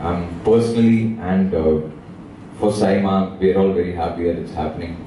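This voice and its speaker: Light background noise and audible room echo surround the recording. A man with a very deep, low pitch speaks at a moderate pace in a monotone, flat way. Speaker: panelist. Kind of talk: press conference answer. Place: hall.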